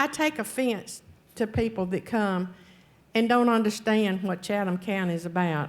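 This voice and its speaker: A woman with a Southern US accent at a fairly slow pace with ordinary pitch variation, on a very clean recording with a silent background. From North Carolina. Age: 70s. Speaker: public commenter at county board meeting. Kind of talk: public comment speech.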